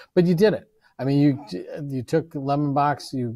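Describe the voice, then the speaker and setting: Dark, mellow male voice with ordinary pitch variation. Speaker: professor and event moderator; professor, event moderator. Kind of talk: interview. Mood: friendly, encouraging. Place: classroom.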